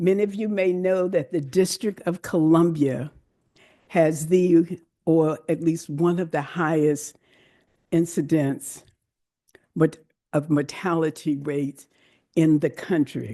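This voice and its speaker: A woman with a fairly low voice speaks at a very slow pace, leaving long, frequent pauses. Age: 70s. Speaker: breast cancer charity founder. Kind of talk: welcome speech. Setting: church event with audience, livestreamed. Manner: energetic.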